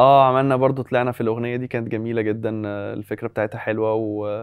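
Over a quiet background, a man with an Egyptian accent speaks at a fairly quick pace in a dry sound with no echo. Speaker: freestyle football performer. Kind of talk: interview. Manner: casual, hesitant with fillers. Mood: relaxed, pleased. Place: studio. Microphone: lapel.

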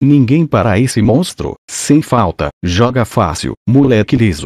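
A man with a dark, mellow tone speaks at a fairly slow pace with lively intonation. The background is quiet, and the sound is dry and close with no echo. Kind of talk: sports commentary, a fan's recap of a match, profane and partisan.

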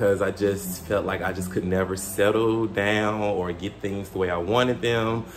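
A man with an unremarkable speaking voice talks at a fairly low pitch, with fairly even intonation and hardly any pauses. Light background noise is present. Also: moderate pace. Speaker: fashion vlogger. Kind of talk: casual vlog chat. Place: home room. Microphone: phone near.

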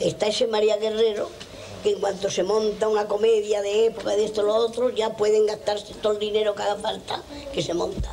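A woman's monotone, flat delivery over light background noise. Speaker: stage actress. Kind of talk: interview answer. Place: home room.

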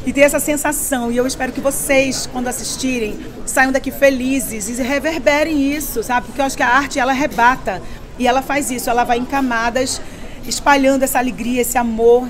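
Light background noise sits under a fairly quick voice with monotone, flat intonation. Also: woman, high pitch for a woman. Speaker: actress at premiere. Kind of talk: interview answer. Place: hall. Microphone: handheld.

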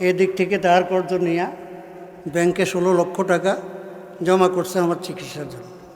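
Over noticeable background noise and audible room echo, a man speaks in a high pitch with monotone, flat intonation. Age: 70s. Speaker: Islamic preacher. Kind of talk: sermon. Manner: call-and-response, rhetorical questions to audience.

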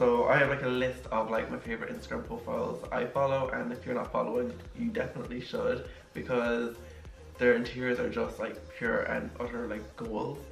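A man speaks at a fairly quick pace with audible room echo. Faint music plays in the background. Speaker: interior design vlogger. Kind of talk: casual vlog chat. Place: home room.

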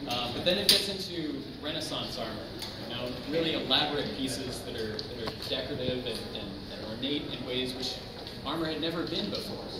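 A man at a fairly quick pace with ordinary pitch variation, amid audible room echo and loud background noise. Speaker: exhibition guide. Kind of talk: guided tour explanation. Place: hall. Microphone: camera far.

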